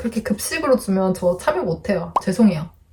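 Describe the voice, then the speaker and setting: Soft-spoken and somewhat breathy, a woman with a dark, mellow tone speaks at medium pitch and a fairly quick pace, her pitch swinging very widely. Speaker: lifestyle YouTuber. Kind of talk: product review vlog.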